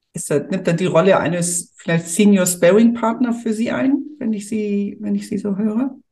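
A woman's somewhat breathy voice, dark and mellow in tone, at medium pitch with ordinary pitch variation and a moderate pace. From Hamburg, northern Germany. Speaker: podcast host, family business consultant. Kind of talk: interview.

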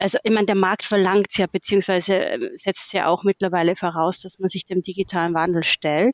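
With a slight Austrian accent, a woman speaks at a medium pitch and moderate pace. Her intonation is fairly even. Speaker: management consultant. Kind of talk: casual interview.

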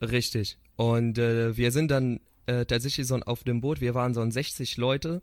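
A man talks at a fairly slow pace and a medium pitch, with fairly even intonation and very even loudness. The sound is dry and close with no echo, in a very clean recording with a silent background. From Syria. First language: Arabic (speaking German). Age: 20s. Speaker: psychotherapy student. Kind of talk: interview. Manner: halting.

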